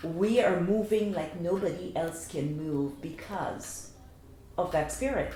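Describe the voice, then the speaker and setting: Against noticeable background noise and audible room echo, a woman in a Guyanese accent talks at a very slow pace, her fairly low voice showing ordinary pitch variation. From Guyana. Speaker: cultural association organizer. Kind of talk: interview.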